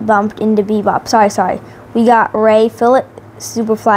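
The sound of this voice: An unforced voice reads the passage.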